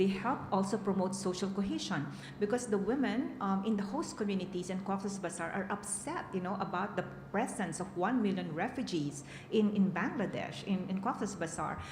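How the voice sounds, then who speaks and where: Noticeable background noise and audible room echo surround a woman with a medium pitch who speaks at a moderate pace with ordinary pitch variation. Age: 60s. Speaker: peace and women's rights advocate. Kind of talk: conference panel answer. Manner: halting, many fillers.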